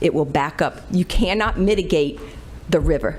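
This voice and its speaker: An American accent from a female speaker, with noticeable noise in the background. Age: 60s. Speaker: resident giving public comment. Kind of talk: public comment testimony.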